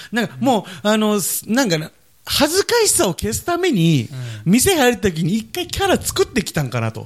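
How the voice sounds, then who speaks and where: A man's moderate pace comes across on a very clean recording, the background silent. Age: 20s. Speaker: podcast co-host, drugstore worker. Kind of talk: casual chat.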